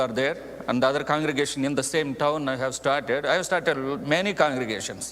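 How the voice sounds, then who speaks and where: Noticeable background noise accompanies a man whose fairly high, fairly quick speech shows ordinary pitch variation. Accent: Indian. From India, Andhra Pradesh (Telugu speaker). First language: Telugu. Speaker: missionary preacher. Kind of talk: mission report to congregation. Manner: halting, with frequent fillers.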